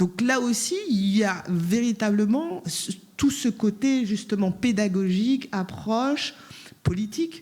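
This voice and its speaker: Very slowly, a somewhat breathy woman speaks at a fairly high pitch with ordinary pitch variation. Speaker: round table panelist. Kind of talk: panel discussion. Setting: conference with interpreters.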